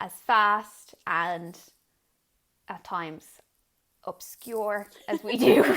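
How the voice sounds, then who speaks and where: A woman in an Irish accent, very slow and full of long, frequent pauses. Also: medium pitch for a woman, lively intonation. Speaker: podcast co-host, sign language interpreter. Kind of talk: casual chat.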